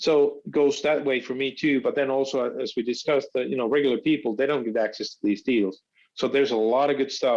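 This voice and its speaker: Speaking at a very fast pace, a man talks with a Finnish accent. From Finland. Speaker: startup founder. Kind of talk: podcast interview. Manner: halting, many fillers.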